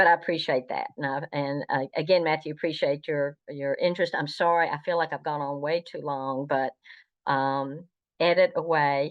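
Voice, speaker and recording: A woman's very deep, low voice in a Southern US accent, monotone and flat, at a moderate pace. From US South, North Carolina. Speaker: Star Trek historian. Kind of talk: interview. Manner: halting.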